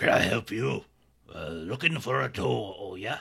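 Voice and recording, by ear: A man puts on a character voice that is gruff, raspy and very deep in pitch. He swings his pitch very widely while keeping a moderate pace.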